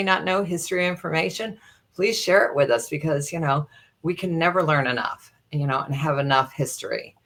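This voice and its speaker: A woman with an ordinary speaking voice and ordinary pitch variation. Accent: American. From Chicago area, USA. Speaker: entertainer and former flight attendant. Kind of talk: interview answer.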